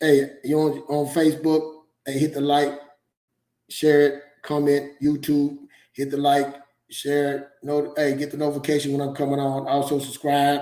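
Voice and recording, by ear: A man with a dark, mellow tone and a fairly high pitch. He talks at a moderate pace in a flat, monotone intonation.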